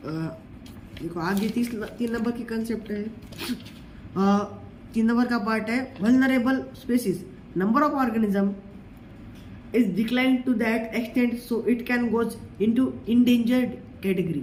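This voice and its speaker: A man with a Marathi accent speaks at an extremely high pitch, with ordinary pitch variation and a moderate pace. Long, frequent pauses break up his speech, and there is audible room echo. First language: Marathi (speaking Hindi). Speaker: teacher. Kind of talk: lecture. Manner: halting.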